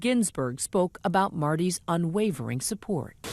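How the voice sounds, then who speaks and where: A woman with an ordinary speaking voice, lively intonation and a moderate pace, set against a quiet background. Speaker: TV news correspondent. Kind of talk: TV news report.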